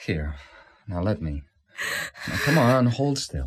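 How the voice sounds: Slowly, a woman puts on a character voice at an extremely low pitch, with big pitch swings.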